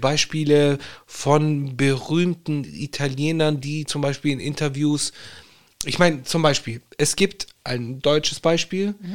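The man's pitch sits fairly high as he talks at a fairly slow pace. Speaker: podcast co-host. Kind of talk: casual chat. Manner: animated.

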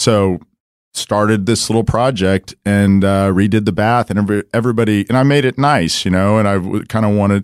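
In a very clean recording with a silent background, a man speaks with an American accent. His pitch is fairly low, his intonation fairly even, and his pace fairly quick. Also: dry, close sound with no echo. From Dallas, Texas. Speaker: home builder and rancher. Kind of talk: casual interview. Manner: halting, many fillers.

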